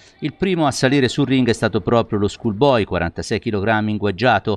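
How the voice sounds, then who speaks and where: A man speaks in a normal speaking voice at a fairly quick pace, with ordinary pitch variation. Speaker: sports news anchor. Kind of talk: news reading. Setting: studio.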